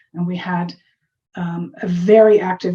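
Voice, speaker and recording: The woman's voice has a dark, mellow tone. There is some breathiness to it. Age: 60s. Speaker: medical journalist and author. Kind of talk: interview.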